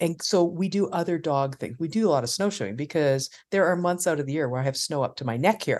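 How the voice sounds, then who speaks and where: A woman's fairly low voice at a very fast pace, against a quiet background. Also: lively intonation. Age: 50s. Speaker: sheepdog trial handler and retired dog trainer. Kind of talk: casual interview.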